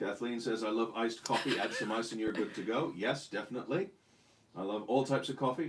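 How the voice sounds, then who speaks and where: Noticeable background noise sits under a man who talks at a fairly quick pace. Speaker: co-host, husband. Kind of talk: casual chat. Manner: loud.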